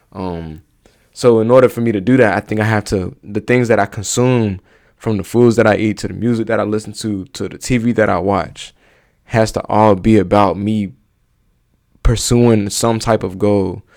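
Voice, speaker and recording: On a very clean recording with a silent background, a man talks at a moderate pace with fairly even intonation. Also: fairly low pitch for a man. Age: 20s. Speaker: YouTuber reacting to videos. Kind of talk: casual reaction vlog. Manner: casual, halting with fillers.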